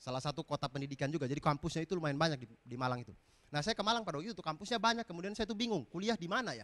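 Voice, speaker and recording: This man talks very fast in a fairly high, animated voice, his pitch swinging very widely. His loudness also rises and drops by large amounts. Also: dry, close sound with no echo. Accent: eastern Indonesian. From eastern Indonesia, East Nusa Tenggara. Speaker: comedian. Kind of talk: stand-up. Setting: stage with audience.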